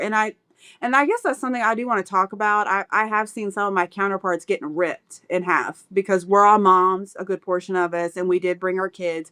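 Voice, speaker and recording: A woman with a medium pitch talks at a fairly quick pace in a very clean recording with a silent background. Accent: American. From Kentucky, US. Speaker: expat mom. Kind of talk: casual chat.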